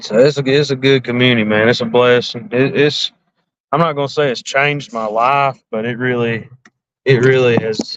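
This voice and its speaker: A man speaks at a medium pitch with an American accent. His pace is moderate and his intonation fairly even. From north central Alabama. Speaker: fishing livestreamer. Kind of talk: casual livestream chat.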